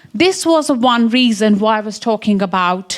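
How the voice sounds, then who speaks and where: A woman with an Indian accent speaks in a fairly high pitch. Her intonation is lively. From English Midlands. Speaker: science education researcher. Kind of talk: conference talk.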